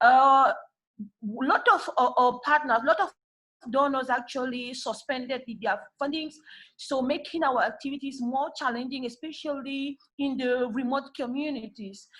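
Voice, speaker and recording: Speaking at a moderate pace with a French accent, a woman talks in a high pitch with ordinary pitch variation. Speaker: civil society peacebuilder. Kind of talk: panel discussion remarks. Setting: video call. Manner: halting.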